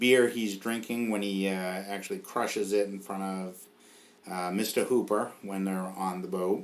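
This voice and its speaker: Audible room echo surrounds a man with a Boston accent and a fairly low pitch. He speaks at a moderate pace with fairly even intonation. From New England (Boston area). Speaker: podcast host. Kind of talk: casual chat.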